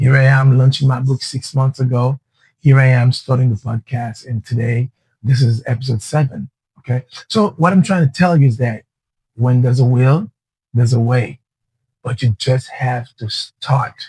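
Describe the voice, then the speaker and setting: A man speaks at a moderate pace in a medium pitch, with a dark, mellow tone, a somewhat breathy quality, and ordinary pitch variation. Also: dry, close sound with no echo. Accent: Haitian. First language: Haitian Creole. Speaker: podcast host and entrepreneur. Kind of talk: motivational podcast monologue. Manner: halting at times.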